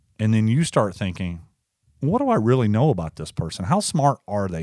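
A plain, everyday voice with lively intonation comes through dry and close with no echo, in a very clean recording with a silent background. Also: man. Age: 40s. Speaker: podcast co-host. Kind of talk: casual chat. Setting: studio.

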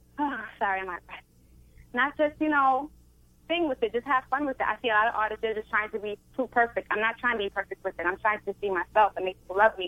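A woman speaks very fast with an American accent. Her voice sits fairly high. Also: ordinary pitch variation. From Brooklyn, New York. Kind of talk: casual radio interview. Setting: phone call.

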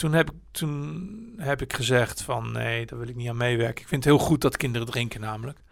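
A man with a medium pitch talks at a fairly quick pace, with big swings in loudness, hardly any pauses and ordinary pitch variation. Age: 60s. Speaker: podcaster and marketer. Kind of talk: casual chat. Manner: halting, many fillers and restarts.

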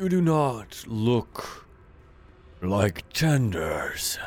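A man's creaky, put-on character voice at a medium pitch. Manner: slow, ancient, suspicious.

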